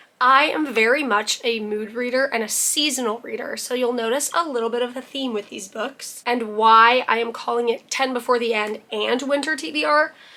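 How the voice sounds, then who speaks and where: Her voice is high and moves at a moderate pace with hardly any pauses. This woman shows ordinary pitch variation over noticeable background noise. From Canada. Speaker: book youtuber. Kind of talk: casual chat. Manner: animated.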